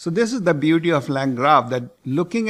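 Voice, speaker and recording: The audio is very clean, and the background is silent. The speaker is a man. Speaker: tech tutorial instructor. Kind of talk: coding tutorial. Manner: slow, deliberate.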